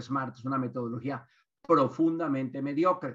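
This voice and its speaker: A man talks at a moderate pace in a fairly high pitch, with a plain, everyday voice. The background is quiet. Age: 60s. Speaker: business consultant and author. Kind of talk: webinar lecture.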